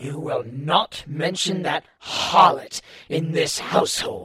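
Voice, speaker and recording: Doing a wheezy, put-on character voice, a man talks at a fairly slow pace in a fairly high pitch. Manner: indignant.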